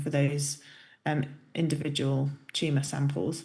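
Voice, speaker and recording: A woman with a British accent speaks in a very deep, low, somewhat breathy voice, with audible room echo around her. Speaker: professor. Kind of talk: lecture. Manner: hesitant, many fillers.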